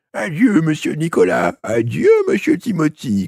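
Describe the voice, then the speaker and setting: Someone performs a put-on character voice at a fairly slow pace. The sound is dry and close, without echo. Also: man, fairly high pitch for a man. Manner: menacing.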